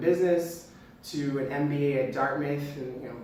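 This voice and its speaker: Amid noticeable background noise and audible room echo, a man speaks in a fairly high, monotone, flat voice at a moderate pace. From United States. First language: not English. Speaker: entrepreneur. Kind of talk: talk to camera.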